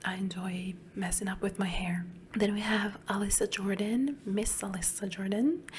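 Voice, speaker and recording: A woman whispers, soft-spoken, at a fairly slow pace. Background noise is noticeable. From Italy, Emilia-Romagna. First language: Italian. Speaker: ASMR YouTuber. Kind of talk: soft-spoken Q&A chat. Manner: whispering.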